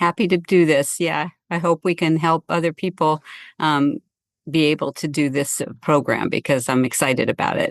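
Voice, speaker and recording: A woman speaks with a very deep, low pitch, ordinary pitch variation and very even loudness. The sound is dry and close with no echo, over a quiet background. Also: moderate pace. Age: 70s. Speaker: patient, retired businesswoman. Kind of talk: interview. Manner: hesitant, many fillers.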